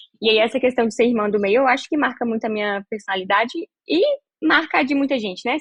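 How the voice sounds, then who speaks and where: A woman's fairly high voice races at a very fast pace with ordinary pitch variation. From northern Minas Gerais, Brazil. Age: 20s. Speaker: psychiatrist and health communicator. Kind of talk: podcast interview.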